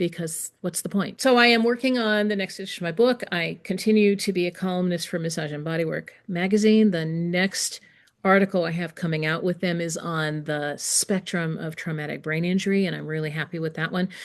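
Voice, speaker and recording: A woman talks in an unremarkable speaking voice at a medium pitch, with ordinary pitch variation. Her pace is fairly quick with hardly any pauses, over a quiet background. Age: 60s. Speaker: massage educator and textbook author. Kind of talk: interview conversation. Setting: podcast interview.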